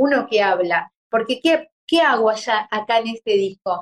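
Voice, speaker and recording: A woman talks fairly slowly, her pitch rising and falling very widely. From Uruguay, Santa Lucía. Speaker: tango singer. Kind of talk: interview.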